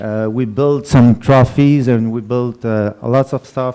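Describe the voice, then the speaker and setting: Speaking at a very slow pace with a non-native accent, a man has a dark, mellow tone and fairly even intonation. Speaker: skydiving association member. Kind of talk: meeting presentation. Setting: annual general meeting. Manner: halting.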